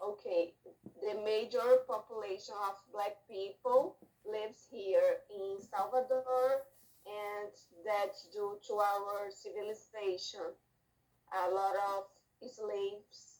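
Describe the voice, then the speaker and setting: At a very slow pace, a woman with a Brazilian Portuguese accent speaks at medium pitch with fairly even intonation. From Brazil, Bahia. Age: 30s. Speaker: doctor, English exam student. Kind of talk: mock speaking test answers.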